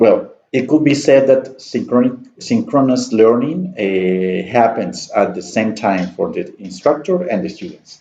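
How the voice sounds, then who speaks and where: A man with a Spanish accent speaks at medium pitch in a dark, mellow tone, at a fairly slow pace with hardly any pauses. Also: lively intonation. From Colombia, Santander (Piedecuesta). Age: 20s. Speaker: student and university staff member. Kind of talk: class self-introduction presentation. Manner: halting, with many fillers.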